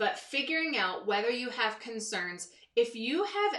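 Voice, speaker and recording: Her intonation lively, a woman talks at a moderate pace. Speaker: myofunctional therapist. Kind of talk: live stream talk to viewers. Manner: animated, over the top.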